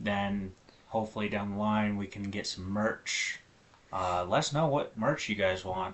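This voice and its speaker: Fairly even intonation at a fairly slow pace. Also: man, fairly low pitch for a man. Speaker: podcast host, military veteran. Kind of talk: casual chat. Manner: monotone.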